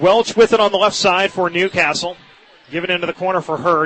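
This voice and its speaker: Behind a man's voice there is noticeable background noise. He speaks very fast and at a high pitch. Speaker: radio sports play-by-play announcer. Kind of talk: live radio basketball play-by-play commentary. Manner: fast, energetic, fluent.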